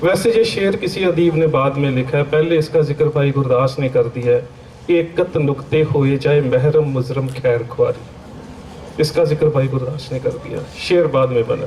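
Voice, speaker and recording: A man's fairly high voice in a Punjabi accent, ordinary pitch variation, audible room echo and noticeable background noise. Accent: Punjabi-accented Hindi. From Punjab, India (Amritsar). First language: Punjabi (speaking Hindi). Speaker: Sikh scholar and lecturer. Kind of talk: religious seminar lecture. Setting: seminar hall with audience.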